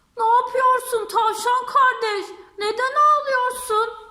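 Very slow pace in a put-on character voice. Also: woman, extremely high pitch for a woman. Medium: read story.

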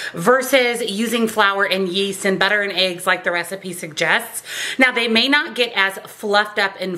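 Moderate pace and ordinary pitch variation from a woman's voice. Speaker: home cooking vlogger. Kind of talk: tutorial. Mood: upbeat, friendly. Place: kitchen.

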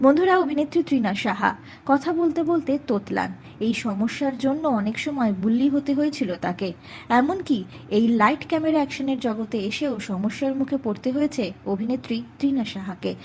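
Lively, high-pitched female speech. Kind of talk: entertainment news narration.

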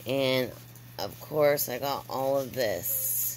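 A woman talks over noticeable background noise. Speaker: crafter. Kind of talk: casual craft tutorial to camera.

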